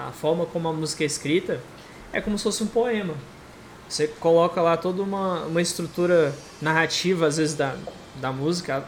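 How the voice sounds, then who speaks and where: A man speaks at a fairly quick pace with a high pitch and ordinary pitch variation. His speech breaks up with long, frequent pauses. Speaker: podcast host and moderator. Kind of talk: casual chat.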